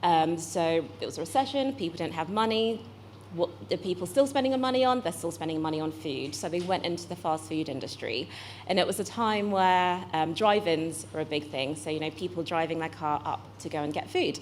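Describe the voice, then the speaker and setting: A woman with a British accent talks at a fairly quick pace, using a fairly low pitch and very wide pitch swings. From UK. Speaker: venture investor, accelerator managing director. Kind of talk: panel talk.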